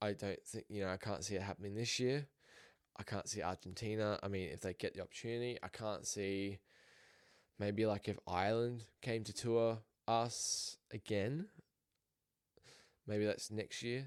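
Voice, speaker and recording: A man with an Australian accent speaks at a moderate pace in a fairly low voice, his intonation fairly even and his long pauses frequent, on a very clean recording with a silent background. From Australia, raised in a New Zealand family. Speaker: sports podcaster. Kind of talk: casual sports commentary podcast.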